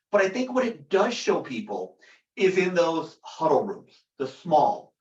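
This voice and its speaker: Lively in intonation, a man with a high voice speaks at a moderate pace. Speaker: company product director presenting. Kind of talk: webinar product discussion. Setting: video call webinar. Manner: loud. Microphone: echoey room.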